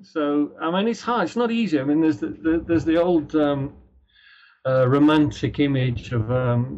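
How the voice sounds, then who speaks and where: A man speaks in a somewhat breathy voice. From Ireland, Dublin, then Britain. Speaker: author. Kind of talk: interview. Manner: halting.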